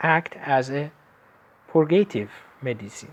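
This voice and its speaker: Someone speaks very slowly with an Iranian accent. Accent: Iranian (Persian). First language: Persian. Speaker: lecturer in traditional medicine. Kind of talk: lecture. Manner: halting, with frequent fillers.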